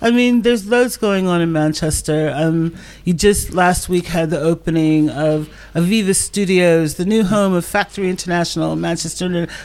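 A woman with a plain, everyday voice talks at a moderate pace in a fairly low pitch, with ordinary pitch variation. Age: 60s. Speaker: literature organization worker and writer. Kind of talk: casual chat.

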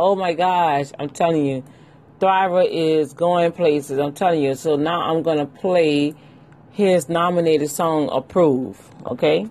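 An animated woman's very deep, low voice at a fairly slow pace, with ordinary pitch variation. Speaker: gospel podcast host and minister. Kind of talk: casual podcast with preaching. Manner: animated, exclamatory.

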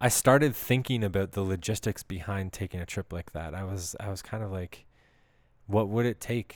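A man with a Canadian accent, fairly low in pitch with fairly even intonation, at a moderate pace on a very clean recording with a silent background. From Canada. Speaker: podcast host. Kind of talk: personal storytelling monologue.

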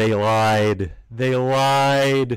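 A put-on character voice over music in the background. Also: man. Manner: dramatic.

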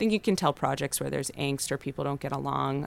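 A woman with an American accent speaks at a very fast pace. The recording is very clean, with a silent background. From Los Angeles, US. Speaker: restaurant founder. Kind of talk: interview.

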